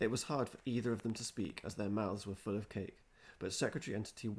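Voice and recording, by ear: Intonation stays fairly even. The voice is reading aloud in a natural voice.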